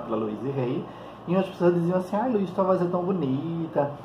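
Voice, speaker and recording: Fairly brisk speech from a man, plus noticeable room echo and clear background noise. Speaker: psychologist and holistic therapist. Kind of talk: vlog monologue. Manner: calm.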